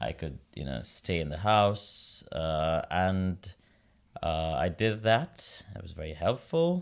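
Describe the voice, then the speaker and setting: At a fairly slow pace, a man speaks in a very deep, low voice with ordinary pitch variation, in a very clean recording with a silent background. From India, Mumbai. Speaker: opera singer. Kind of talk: interview.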